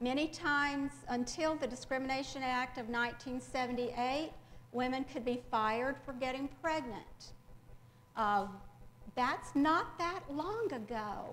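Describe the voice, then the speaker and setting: A woman with a Southern US accent speaks at a high pitch with ordinary pitch variation. Her pace is fairly slow, and audible room echo surrounds her voice. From rural Mississippi, US South. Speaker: English professor. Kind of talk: lecture. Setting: library presentation with audience. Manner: frequent filler hesitations.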